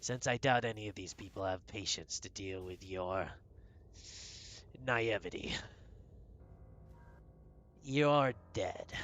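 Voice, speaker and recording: A man's put-on character voice, fairly low and fairly slow, with clear background noise. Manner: creepy.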